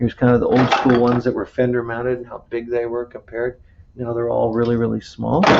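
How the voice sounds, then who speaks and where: Very fast, monotone male speech with flat intonation and noticeable background noise. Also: medium pitch for a man. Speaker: automotive instructor. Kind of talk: lecture.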